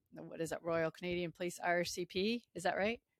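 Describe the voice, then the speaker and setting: At a moderate pace, a woman speaks at medium pitch with fairly even intonation, a plain, everyday voice. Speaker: podcast host and public safety dispatcher. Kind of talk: interview, conversational.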